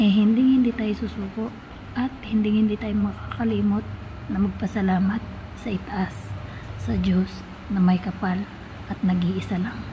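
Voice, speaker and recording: A woman at a moderate pace with long, frequent pauses, against noticeable background noise. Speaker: vlogger. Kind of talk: casual chat.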